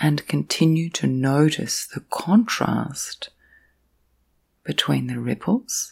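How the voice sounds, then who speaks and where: Very slow and marked by long, frequent pauses, a woman speaks in a gentle, calm tone. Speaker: guided meditation and sleep guide, counselor. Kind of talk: guided meditation, sleep meditation. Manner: slow, gentle, calm.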